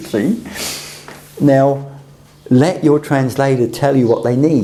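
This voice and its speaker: A man with a British accent is heard through audible room echo and noticeable background noise. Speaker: teacher of communication skills. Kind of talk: lecture.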